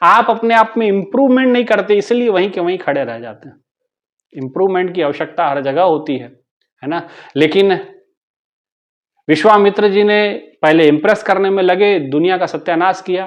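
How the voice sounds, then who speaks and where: With lively intonation and long, frequent pauses, a man speaks in a high voice. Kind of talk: spiritual discourse (satsang).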